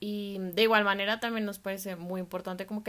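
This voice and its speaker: A woman's voice in a monotone, flat intonation. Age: 20s. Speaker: food blogger and design student. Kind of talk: podcast interview.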